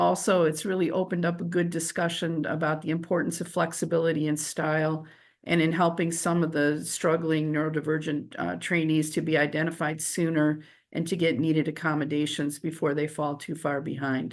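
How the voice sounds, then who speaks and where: A woman's very deep, low voice, monotone and flat in intonation, at a moderate pace. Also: quiet background. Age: 60s. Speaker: medical educator. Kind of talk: panel presentation.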